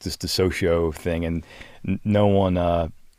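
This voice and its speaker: A man speaks in a very deep, low voice with an American accent and flat, monotone intonation. The recording is very clean, with a silent background. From US, South Philadelphia. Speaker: media strategy director. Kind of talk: casual podcast interview. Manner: halting, many fillers.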